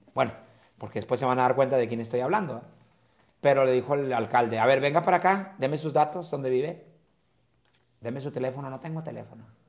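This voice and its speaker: Against a quiet background, a man at medium pitch talks at a very fast pace with ordinary pitch variation and long, frequent pauses. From Mexico. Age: old. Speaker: comedian; comedian guest. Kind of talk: casual chat. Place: hall. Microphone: camera far.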